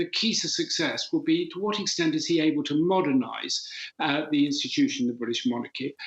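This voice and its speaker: A man talks at a fairly quick pace with a high pitch. His pitch swings very widely. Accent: English. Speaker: former politician, commentator. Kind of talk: news interview.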